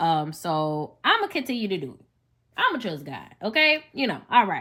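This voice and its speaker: A woman with a Southern US accent speaks at medium pitch and a moderate pace in a bright, sharp tone. Her pitch swings very widely and her loudness swings a lot. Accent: Southern US, country. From US South, Memphis, Tennessee. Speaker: podcast host and teacher. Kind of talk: personal testimony podcast monologue. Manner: casual, conversational.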